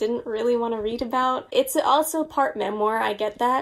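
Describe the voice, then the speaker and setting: A woman talks at a fairly high pitch with ordinary pitch variation. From US, Long Island, New York; New York. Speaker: book YouTuber. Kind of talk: casual vlog monologue. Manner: animated. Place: home room.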